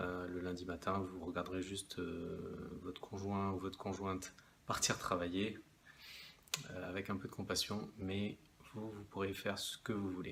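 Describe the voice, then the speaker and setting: A soft-spoken man speaks at a fairly slow pace, with a very deep, low pitch and monotone, flat intonation. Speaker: investment vlogger. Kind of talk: casual talking-to-camera video. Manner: hesitant, many fillers.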